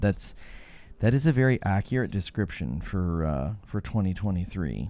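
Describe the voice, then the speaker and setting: The pace is moderate. Intonation is lively. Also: man. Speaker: YouTuber and father. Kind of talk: casual chat. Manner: loud.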